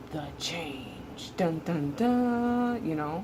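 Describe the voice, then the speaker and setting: A woman speaks at a very slow pace. Noticeable background noise sits behind her. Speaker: transgender man vlogger, before hormone therapy. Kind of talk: casual talk to camera. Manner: hesitant, many filler words.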